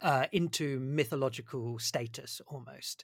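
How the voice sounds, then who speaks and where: A man talks in an unremarkable speaking voice at medium pitch with ordinary pitch variation. The recording is very clean, with a silent background. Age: 40s. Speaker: podcast host. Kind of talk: interview.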